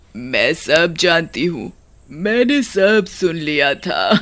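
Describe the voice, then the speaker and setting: In a put-on character voice at middle pitch, the words come at a very slow pace. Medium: read story. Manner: cackling, mocking.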